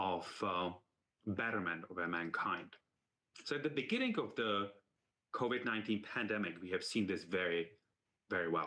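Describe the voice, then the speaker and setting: This man has a bright, sharp tone, a fairly low pitch and a non-native accent. His speech has long, frequent pauses. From outside the United States. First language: not English. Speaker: university medical leader. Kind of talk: symposium talk. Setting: virtual symposium.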